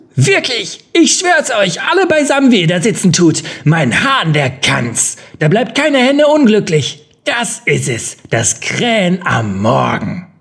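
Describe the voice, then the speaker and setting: A man speaks loudly at a fairly slow pace in a put-on character voice pitched high for a man. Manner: cheeky, loud, folksy.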